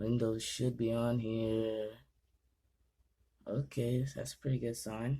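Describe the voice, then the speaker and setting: At a very slow pace with long, frequent pauses, a man speaks in a dark, mellow tone at a medium pitch with monotone, flat intonation. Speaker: gaming YouTuber. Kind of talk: casual tutorial vlog. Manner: halting, stumbling over words.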